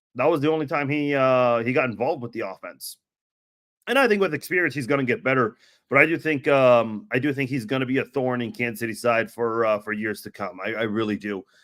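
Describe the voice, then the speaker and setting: The man's pitch is medium. He delivers his words at a very fast pace. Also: ordinary pitch variation. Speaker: sports podcast host. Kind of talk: casual live podcast commentary. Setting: live stream podcast. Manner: halting with awkward pauses.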